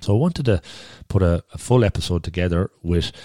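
A man at a fairly quick pace, dark and mellow in tone, with a dry, close sound and no echo

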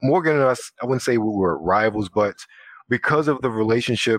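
With an American accent, a man talks at a fairly quick pace in a plain, everyday voice with ordinary pitch variation, and the sound is dry and close with no echo. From Baltimore, Maryland. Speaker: former college quiz team member. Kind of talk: casual chat.

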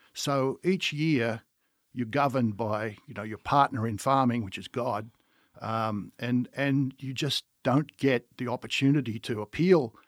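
Recorded dry and close with no echo, a man with an Australian accent speaks at a fairly slow pace and a medium pitch, with ordinary pitch variation. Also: very clean recording, silent background. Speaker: winery owner. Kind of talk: casual chat.

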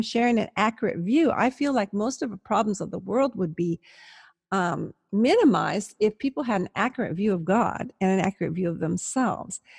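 Somewhat breathy, fairly high woman's voice, dry and close with no echo, over a quiet background. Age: 60s. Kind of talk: interview conversation.

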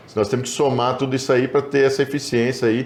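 A man is talking. His pace is very fast. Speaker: cotton producer representative. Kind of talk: interview.

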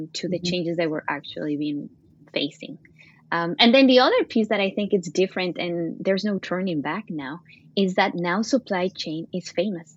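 Over a quiet background, a woman with a Latin American accent talks at a moderate pace. Her pitch is medium and her intonation lively. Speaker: supply chain executive. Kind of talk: casual interview. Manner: halting, many fillers.

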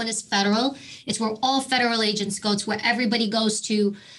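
A woman speaks in a plain, everyday voice with an American accent. Her pace is fairly quick and her intonation fairly even. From New York City. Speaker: former police officer and Secret Service agent. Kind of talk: interview.

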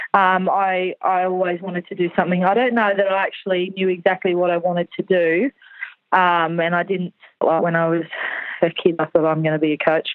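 Speaking fairly quickly in an Australian accent, a woman keeps a medium pitch and a flat, monotone intonation. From rural New South Wales, Australia. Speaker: show jumping coach. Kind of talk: casual interview.

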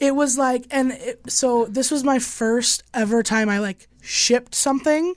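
A woman speaks at a fairly slow pace in a high voice, with fairly even intonation and hardly any pauses. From Chicago, US Midwest. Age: 20s. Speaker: podcast host. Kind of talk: casual chat. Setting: studio.

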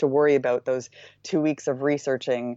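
A woman with a Maritime Canadian accent, very deep and low in pitch, at a fairly quick pace. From Canada, Nova Scotia eastern shore. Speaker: surf travel business co-founder. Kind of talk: interview. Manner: energetic; hesitant fillers (um).

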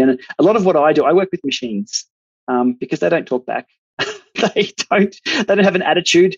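Speaking at a fairly quick pace with an Australian accent, this man's pitch swings very widely. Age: 40s. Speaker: cycling tech YouTuber and masters cyclist. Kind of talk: casual interview chat.

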